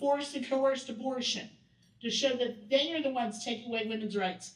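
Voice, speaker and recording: A woman speaks loudly at a moderate pace, with audible room echo. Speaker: workshop presenter. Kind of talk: training workshop talk. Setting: event room with audience.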